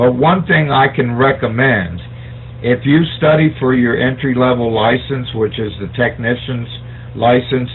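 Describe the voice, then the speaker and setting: Speaking at a fairly slow pace with an American accent, a man has a medium-pitched voice over noticeable background noise. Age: 60s. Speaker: amateur radio operator. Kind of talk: radio net check-in, explaining. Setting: amateur radio net. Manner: hesitant, many fillers.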